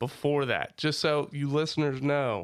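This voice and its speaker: A man talks at a fairly slow pace. His pitch is fairly high. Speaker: podcast host. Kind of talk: casual chat; scripted intro. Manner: animated.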